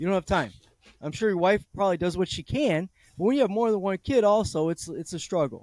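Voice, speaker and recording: A man with an American accent and a high pitch talks with lively intonation in a dry, close sound with no echo. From California, Bay Area. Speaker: discussion host, father. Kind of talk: casual chat.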